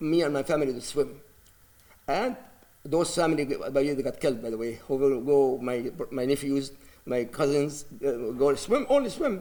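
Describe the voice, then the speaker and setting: The speaker has an Arabic accent and lively intonation. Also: man. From Palestine (Gaza City). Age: 60s. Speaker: imam. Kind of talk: news interview. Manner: halting.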